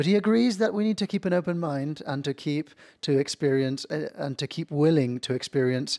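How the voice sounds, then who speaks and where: A man with a fairly high pitch speaks at a fairly slow pace with ordinary pitch variation, in a dry, close sound with no echo on a very clean recording with a silent background. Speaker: university academic, moderator. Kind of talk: panel introduction. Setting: video recording. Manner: soft-spoken.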